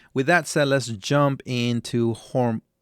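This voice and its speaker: Recorded very cleanly against a silent background, a man talks at a very slow pace with a dry, close sound and no echo. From Latin American background. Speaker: stock analysis YouTuber. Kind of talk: tutorial. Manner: halting, many fillers.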